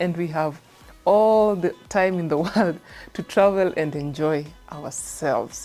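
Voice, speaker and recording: A woman with a fairly low pitch talks in an upbeat tone. Music plays in the background. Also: ordinary pitch variation. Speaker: TV presenter. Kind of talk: TV show presenting to camera.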